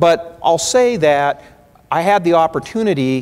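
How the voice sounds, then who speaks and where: The man talks in an American accent, his pitch varying in an ordinary way. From US Pacific Northwest, Spokane, Washington. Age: 50s. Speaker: lawyer and keynote speaker. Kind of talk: keynote speech. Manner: frequent fillers and restarts.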